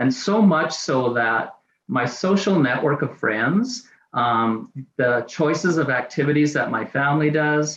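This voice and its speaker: With a Canadian accent, a man uses a normal speaking voice at a fairly high pitch, showing ordinary pitch variation and very even loudness. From Canada, Saskatchewan (Saskatoon). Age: 60s. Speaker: person with chronic pain sharing lived experience. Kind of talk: testimony.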